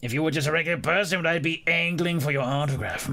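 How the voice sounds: A put-on character voice from a man, with a British accent as part of the act, fairly high in pitch, fairly even in intonation, at a very fast pace.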